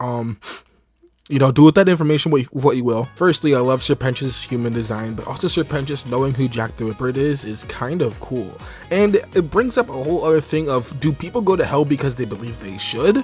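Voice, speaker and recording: A fairly quick, fairly high-pitched man's voice with ordinary pitch variation, and music in the background. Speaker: voice actor. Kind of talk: casual review talk to camera.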